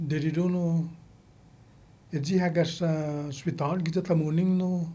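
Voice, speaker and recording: With a dark, mellow tone and high pitch, a man talks at a moderate pace in a monotone, flat intonation, with audible room echo around him. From Guam. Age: 70s. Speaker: military veteran. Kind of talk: oral history interview.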